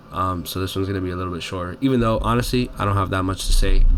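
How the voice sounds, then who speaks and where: A man speaks with audible room echo around his voice. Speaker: youtuber reviewing movies. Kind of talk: casual monologue review. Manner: halting with stutters and fillers.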